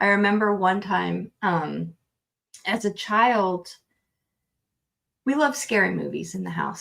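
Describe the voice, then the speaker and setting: Speaking at a very slow pace, a woman uses a medium pitch. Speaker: spiritual healer and reader. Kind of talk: casual interview storytelling. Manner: loud.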